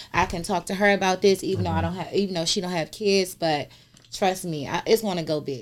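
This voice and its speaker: Over music in the background, a woman with an American accent talks at a very fast pace. Her pitch is medium and her intonation fairly even. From DMV area (Washington DC region). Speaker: social media personality. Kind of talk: casual chat.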